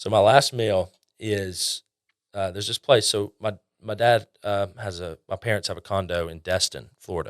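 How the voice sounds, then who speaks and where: With a southern Alabama accent, a man speaks at a moderate pace in a fairly low voice, with ordinary pitch variation and big swings in loudness. The recording is very clean and dry, close with no echo, over a silent background. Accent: Southern Alabama accent, noticeable. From northeast Alabama. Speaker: customer success manager. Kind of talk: casual interview chat.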